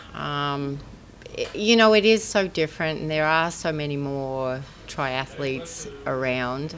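Spoken at a fairly slow pace with lively intonation, the clip has noticeable background noise and audible room echo. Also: woman, very deep, low pitch for a woman. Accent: Australian. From Australia. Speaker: former pro triathlete, soft tissue therapist. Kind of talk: interview.

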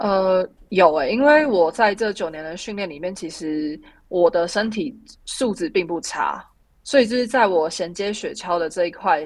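A woman's medium-pitched voice with lively intonation and big swings in loudness at a moderate pace, on a very clean recording with a silent background. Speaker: Olympic luge athlete. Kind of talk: interview. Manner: halting, many fillers.

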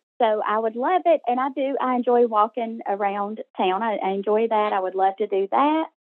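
Speaking with hardly any pauses, a woman uses a plain, everyday voice at a fairly high pitch. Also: moderate pace. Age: 40s. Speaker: coaching client. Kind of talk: coaching call. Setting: recorded call.

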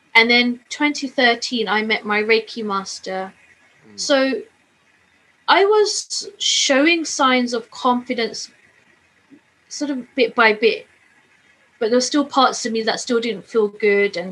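In a London accent, a woman with a high-pitched, bright, sharp tone speaks very slowly, with long, frequent pauses and big swings in loudness. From London, England. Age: 40s. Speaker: plane crash survivor. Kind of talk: testimony.

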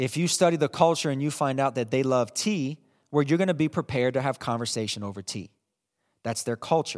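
A man talks at a fairly quick pace with ordinary pitch variation in an unremarkable speaking voice, the sound dry and close with no echo. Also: fairly high pitch for a man, very clean recording, silent background. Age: 30s. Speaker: pastor. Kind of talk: sermon.

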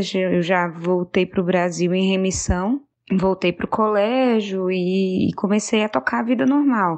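A woman's ordinary speaking voice at medium pitch, fairly slow, with ordinary pitch variation and very even loudness. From Fortaleza, Brazil. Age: 30s. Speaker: cancer survivor. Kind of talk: testimony.

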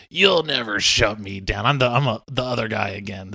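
In a put-on character voice, a man at medium pitch speaks at a moderate pace with big swings in loudness and ordinary pitch variation. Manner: defiant.

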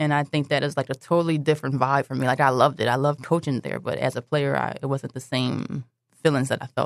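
A woman's very deep, low voice with a Philadelphia accent, very fast pace, monotone flat intonation, and dry, close sound with no echo. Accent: Philadelphia American. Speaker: basketball coach. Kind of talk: interview. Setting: studio.

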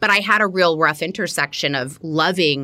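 In a bright, sharp tone, a woman with an American accent speaks at a fairly quick pace on a very clean recording with a silent background. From US South, Miami, Florida. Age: 40s. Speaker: cultural consultant and entrepreneur. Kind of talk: interview.

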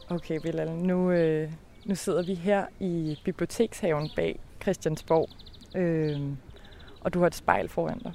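With long, frequent pauses, a woman talks at a very slow pace in a fairly low pitch, showing ordinary pitch variation. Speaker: podcast reporter. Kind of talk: interview. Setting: outdoors.

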